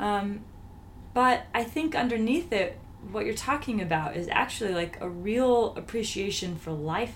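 Against noticeable background noise, a woman speaks at a medium pitch with lively intonation. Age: 30s. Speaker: podcast host. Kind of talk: interview. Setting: living room at home.

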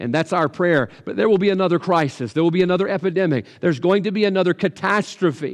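Against a quiet background, a man talks with a Southern US accent. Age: 40s. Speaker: pastor. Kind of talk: sermon. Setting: livestream.

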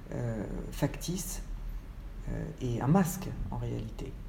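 Audible room echo surrounds a woman as she speaks. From France, Paris. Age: 50s. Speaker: photographer. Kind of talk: interview. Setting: at her home. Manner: hesitant, many fillers.

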